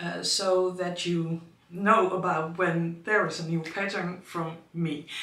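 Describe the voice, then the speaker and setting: With a Dutch accent and a medium pitch, a woman speaks amid noticeable background noise and audible room echo. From Netherlands. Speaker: knitting designer and teacher. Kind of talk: casual vlog. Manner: halting, frequent fillers.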